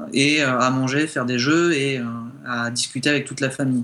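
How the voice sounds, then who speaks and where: A man's medium-pitched voice stays monotone and flat as noticeable background noise carries on around him. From southern France, Montpellier. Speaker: guest. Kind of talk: radio interview.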